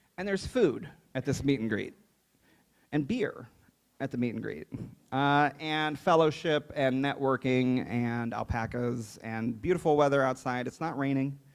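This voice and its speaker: An unremarkable speaking voice, captured very cleanly with no background sound, keeps a medium tempo and normal pitch movement. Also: man, medium pitch for a man. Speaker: awards ceremony emcee. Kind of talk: awards ceremony announcing. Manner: casual, upbeat.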